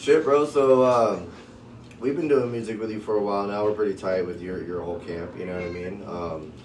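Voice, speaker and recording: Over noticeable background noise and audible room echo, a man talks at a fairly quick pace in a fairly low voice, with lively intonation and big swings in loudness. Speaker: podcast host. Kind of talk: casual chat.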